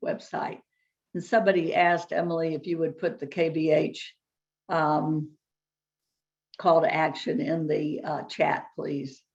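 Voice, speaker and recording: Against a quiet background, a woman puts on a raspy character voice at a fairly low pitch, speaking at a moderate pace with ordinary pitch variation. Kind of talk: formal, advocacy briefing.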